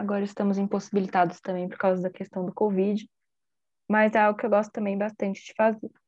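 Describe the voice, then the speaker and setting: Her voice is medium in pitch with a dark, mellow tone. The woman talks at a fairly quick pace in a flat monotone. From Brazil, São Paulo. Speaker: podcast host, law student. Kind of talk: casual chat.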